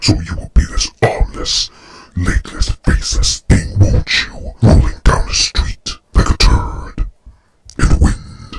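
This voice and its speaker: The voice is a put-on character voice, raspy in texture. It moves at a fairly slow pace. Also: man, very deep, low pitch for a man. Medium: dub. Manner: menacing, threatening.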